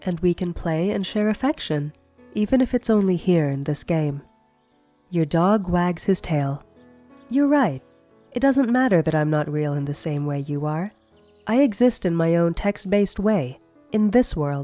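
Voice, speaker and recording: Over music in the background, a woman with a fairly low pitch speaks at a moderate pace, her pitch swinging very widely between long, frequent pauses. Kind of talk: audiobook-style story narration.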